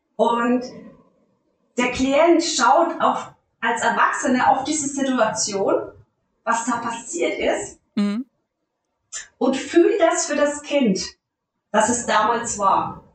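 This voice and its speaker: A woman with a high pitch and lively intonation talks at a very slow pace, leaving long, frequent pauses. Audible room echo surrounds her voice. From Lower Franconia, Bavaria. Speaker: life coach, former nurse. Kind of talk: interview.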